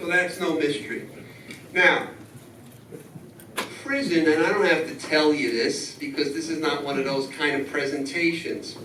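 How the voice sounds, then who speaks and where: Background noise is noticeable, and the room echo is audible. A man with a New York accent speaks at a high pitch, with ordinary pitch variation. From New York City. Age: 60s. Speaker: lawyer. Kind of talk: address to a union meeting.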